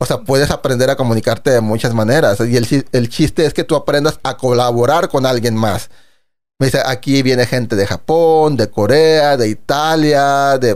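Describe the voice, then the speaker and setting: A man with a plain, everyday voice speaks at medium pitch and a moderate pace, with ordinary pitch variation and very even loudness. The recording is very clean, with a silent background. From Monterrey, northern Mexico. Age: 40s. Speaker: composer and musical theatre artist. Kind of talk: casual chat.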